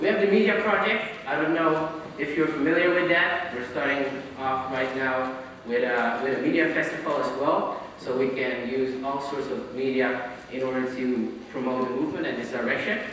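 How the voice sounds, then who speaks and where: With a non-native accent, a man talks at a moderate pace and medium pitch, his pitch varying in an ordinary way. The recording has audible room echo and noticeable background noise. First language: not English. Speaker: activist presenter. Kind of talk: conference talk. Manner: halting.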